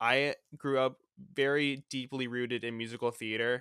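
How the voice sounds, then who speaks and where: A man with an American accent speaks at a moderate pace and medium pitch, his tone bright and sharp but his intonation monotone and flat. The sound is dry and close with no echo, on a very clean recording with a silent background. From Florida, US. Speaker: theme park podcaster. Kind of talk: casual interview chat.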